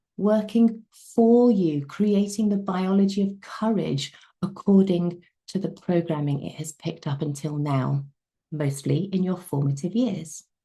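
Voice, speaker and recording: A somewhat breathy woman with a dark, mellow tone speaks at a medium pitch and a fairly slow pace, using ordinary pitch variation. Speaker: wellness coach. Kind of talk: webinar lecture.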